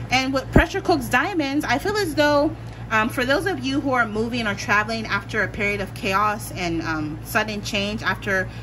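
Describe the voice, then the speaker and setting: With an American accent, a woman talks at a moderate pace amid noticeable background noise. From Pennsylvania, US. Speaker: tarot reader. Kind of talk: tarot pick-a-card reading. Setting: home recording with meditation music. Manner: casual, filler-heavy. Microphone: phone near.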